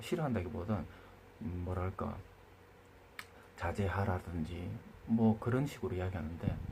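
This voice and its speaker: A man with a dark, mellow, somewhat breathy tone talks at a moderate pace. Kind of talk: opinion monologue. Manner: hesitant with fillers.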